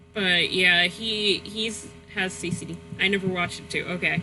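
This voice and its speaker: The pace is fairly slow. Music can be heard in the background. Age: 20s. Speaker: gaming streamer. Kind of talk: casual live-stream chat. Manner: halting, many fillers.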